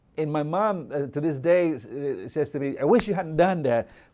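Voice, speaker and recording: This man speaks with a Salvadoran accent and a fairly high pitch. His tone is dark and mellow, and his intonation is lively. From El Salvador. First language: Spanish. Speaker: local politician. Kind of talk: interview. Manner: halting, many fillers and repetitions.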